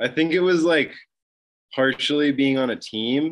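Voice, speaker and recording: Here a man talks at a moderate pace. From Northern California, Mount Shasta. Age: 20s. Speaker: clothing brand founder, skier. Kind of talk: casual interview chat.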